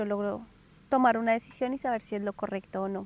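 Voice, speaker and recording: A woman speaks in a Colombian accent at a fairly quick pace. Her intonation stays fairly even in a very clean recording with a silent background. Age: 30s. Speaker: podcast host. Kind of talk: casual personal storytelling monologue. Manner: hesitant with filler sounds.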